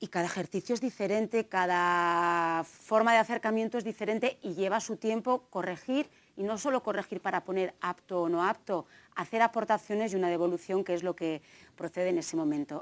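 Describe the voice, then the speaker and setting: A woman speaks at a moderate pace in a medium pitch with ordinary pitch variation. The recording is very clean with a silent background and a dry, close sound with no echo. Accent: slight Navarrese. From Navarre, Spain (Tafalla, central Navarre). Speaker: gender equality trainer and researcher. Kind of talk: conference talk.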